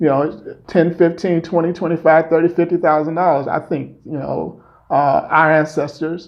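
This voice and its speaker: This man has an American accent and a fairly high pitch, speaking at a moderate pace with monotone, flat intonation. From Chicago, US Midwest. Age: 50s. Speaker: reparations activist. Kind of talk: interview. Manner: frequent fillers and hesitations.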